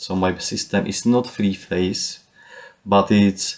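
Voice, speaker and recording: At a very slow pace, a man with a Czech accent speaks at a fairly low pitch. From Czech Republic. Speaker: DIY solar power enthusiast, YouTuber. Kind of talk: casual tutorial walkthrough. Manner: hesitant, frequent uh fillers.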